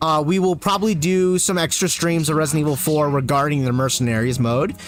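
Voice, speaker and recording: With an American accent, the speaker talks very fast at a very even loudness, with ordinary pitch variation. Noticeable background noise and audible room echo come through. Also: man, fairly high pitch for a man. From US, Korean-born family. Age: 30s. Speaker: gaming streamer. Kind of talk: casual chat. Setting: livestream.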